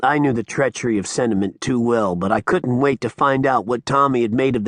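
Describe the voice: With ordinary pitch variation, this is plain reading aloud.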